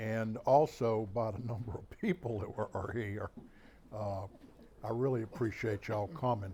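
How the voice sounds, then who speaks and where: With a Mississippi Gulf Coast accent, a man speaks at a moderate pace in a dark, mellow, somewhat breathy voice. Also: medium pitch for a man, ordinary pitch variation. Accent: Southern US (Mississippi Gulf Coast). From US South, Bay Saint Louis, Mississippi. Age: 70s. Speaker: author and local historian. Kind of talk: public talk. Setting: talk to an audience in a historic house. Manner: hesitant, many fillers; too quiet for the back of the room.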